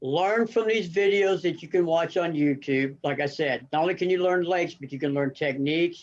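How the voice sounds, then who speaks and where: The background is quiet as a man with an American accent speaks. His pitch is high and his pace moderate. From Arizona. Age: 60s. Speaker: tournament angler. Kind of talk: podcast interview.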